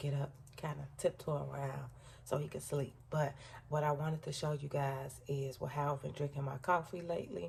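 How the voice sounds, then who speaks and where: A woman with a very deep, low pitch uses fairly even intonation and vocal fry. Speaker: lifestyle vlogger. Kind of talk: casual vlog talk. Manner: talking low.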